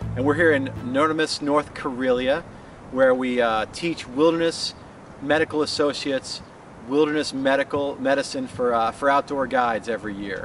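A man at a fairly high pitch and a moderate pace, fairly even in intonation, with light background noise. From Colorado, US. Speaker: paramedic and wilderness first aid instructor. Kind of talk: promotional course explanation. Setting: outdoors on location in Finland. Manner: casual with frequent fillers. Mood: calm, informative. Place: open country.

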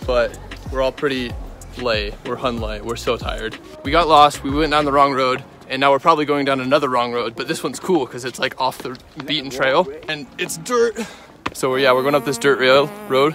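Against clear music in the background, a man talks at a fairly quick pace with fairly even intonation, the sound dry with no echo. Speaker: student vlogger. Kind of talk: casual vlog chat. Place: open country. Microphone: phone near.

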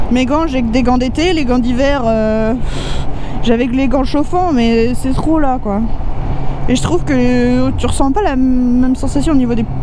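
At a fairly slow pace with long, frequent pauses, a woman speaks at a high pitch with ordinary pitch variation and very even loudness, in a dry sound with no echo and noticeable background noise. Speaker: motorcycle vlogger. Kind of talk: casual vlog chat. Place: motorbike.

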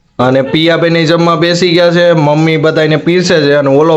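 Audible room echo surrounds a man's high-pitched voice, which shows ordinary pitch variation. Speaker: vlogger. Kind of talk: product review; casual vlog narration.

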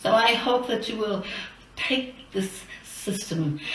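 A woman's voice moves through very wide pitch swings. Audible room echo and light background noise surround her. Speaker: campaign finance reformer. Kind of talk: recorded address to a legislature. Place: studio.

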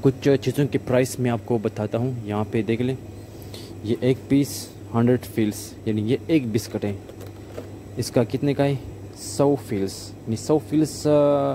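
A man at a fairly slow pace, with long, frequent pauses, ordinary pitch variation and light background noise. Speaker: motorbike travel vlogger. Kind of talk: casual vlog chat. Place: shop. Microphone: phone near.

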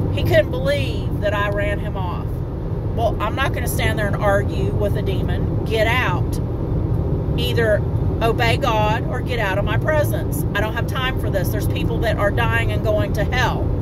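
Loud background noise surrounds a woman speaking at a moderate pace. Her voice itself sounds dry, with no echo. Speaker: street minister. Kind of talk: preaching vlog. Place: car. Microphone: phone near.

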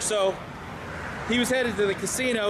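There is loud background noise. A man is speaking. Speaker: vlogger. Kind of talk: casual vlog commentary. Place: street. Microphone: phone near.

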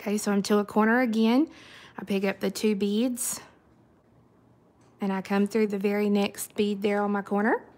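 A woman at medium pitch and a moderate pace, slightly mellow in tone, with little pitch movement and long, frequent pauses

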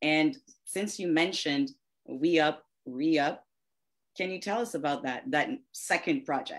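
Quiet background behind a woman who speaks fairly slowly with fairly low pitch, very wide pitch swings, and long, frequent pauses. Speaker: guest host, music marketing consultant; guest host. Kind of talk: interview. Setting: video call. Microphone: video call.

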